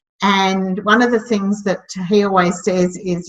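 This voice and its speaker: A woman is speaking. She has an Australian accent. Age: 60s. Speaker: startup mentor and community founder. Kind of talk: interview. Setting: podcast interview. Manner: hesitant, many fillers.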